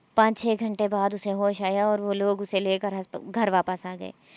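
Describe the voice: The text is read aloud plainly.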